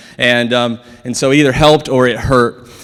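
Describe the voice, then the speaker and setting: Here a man talks with an American accent. His tone is animated. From South Dakota, US. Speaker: chiropractor. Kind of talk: conference lecture. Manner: fast.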